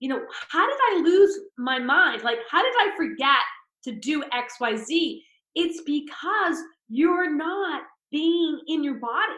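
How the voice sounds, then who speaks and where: A woman's extremely high, bright, sharp voice with lively intonation at a fairly slow pace, in a room with audible echo. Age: 60s. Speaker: spiritual speaker. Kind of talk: podcast interview.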